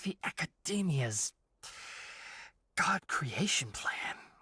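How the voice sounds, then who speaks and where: A put-on character voice, whispering at a very slow pace. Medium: video game.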